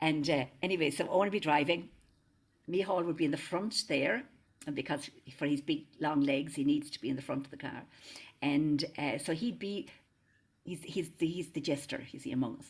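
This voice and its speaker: Speaking with an Irish accent at a moderate pace, a woman with a very deep, low voice shows ordinary pitch variation, big swings in loudness and long, frequent pauses. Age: 70s. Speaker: singer and interfaith minister. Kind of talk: casual chat.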